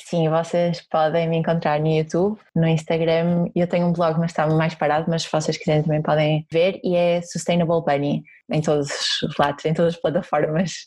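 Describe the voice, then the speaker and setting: In a Porto accent, a woman speaks at a moderate pace with a dark, mellow, somewhat breathy tone, a fairly low pitch, and monotone, flat intonation. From Porto, northern Portugal. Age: 20s. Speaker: sustainability blogger and YouTuber. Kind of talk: interview testimony.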